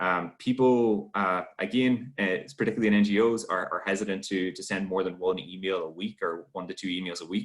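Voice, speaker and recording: A man with an Irish accent, fairly low in pitch, fairly even in intonation, fairly quick and with hardly any pauses. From Ireland. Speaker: webinar host and trainer. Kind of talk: online workshop Q&A. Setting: video call. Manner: halting, many fillers.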